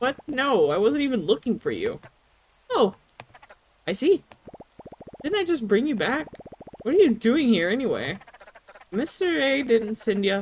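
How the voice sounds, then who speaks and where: Using a put-on character voice, a woman speaks at a high pitch with very wide pitch swings, a moderate pace and long, frequent pauses. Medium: virtual streamer. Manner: cheerful, goofy.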